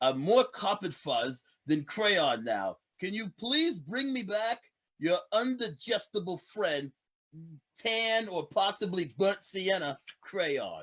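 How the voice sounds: A man puts on a character voice, high-pitched and fairly bright in tone. He talks slowly with big pitch swings.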